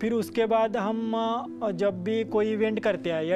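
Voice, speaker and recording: Music plays in the background while a man talks. His pitch is high, with ordinary variation. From Karnataka, India. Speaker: retired army soldier, Siachen veteran. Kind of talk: interview answer.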